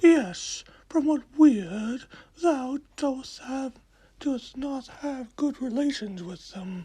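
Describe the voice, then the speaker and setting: Someone does a put-on character voice at a high pitch, speaking at a very slow pace. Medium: read story. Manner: archaic, imperious.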